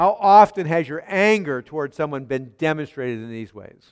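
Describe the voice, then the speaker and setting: An animated man with a fairly high pitch, very wide pitch swings and a moderate pace. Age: 60s. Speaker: pastor. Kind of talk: sermon.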